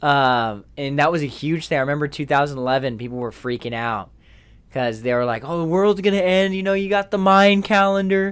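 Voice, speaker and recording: In a plain, everyday voice with lively intonation, the speaker goes at a moderate pace on a very clean recording with a silent background. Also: man, fairly high pitch for a man. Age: 20s. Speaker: podcast co-host. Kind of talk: casual chat.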